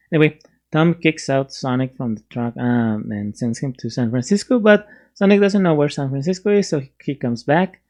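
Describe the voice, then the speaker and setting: Speaking at a fairly quick pace with a Spanish accent, the voice comes through against a quiet background. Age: 30s. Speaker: YouTube movie reviewer. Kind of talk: casual movie review. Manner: halting, many fillers and restarts.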